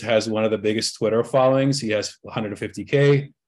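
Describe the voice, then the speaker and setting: With a normal speaking voice, a man talks at a moderate pace with fairly even intonation against a quiet background. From Egypt, moved to US at 12. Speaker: marketing consultant. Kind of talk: interview.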